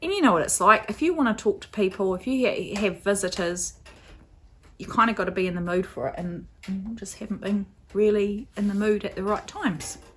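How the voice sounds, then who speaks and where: With a New Zealand accent, a woman speaks at a medium pitch with ordinary pitch variation. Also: fairly quick pace. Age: 40s. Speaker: crafting podcaster. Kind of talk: casual vlog chat. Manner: casual, hesitant with fillers.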